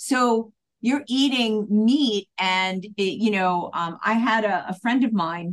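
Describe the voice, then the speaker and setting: A woman speaks with a fairly high pitch. Her pace is very slow. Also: ordinary pitch variation. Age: 50s. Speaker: hypnotist. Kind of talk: casual chat.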